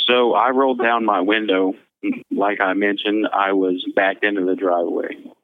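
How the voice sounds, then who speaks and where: A man with an American accent and a normal speaking voice, fairly low in pitch, at a moderate pace with very even loudness and fairly even intonation. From Missouri. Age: 20s. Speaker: convicted murderer. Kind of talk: interview testimony.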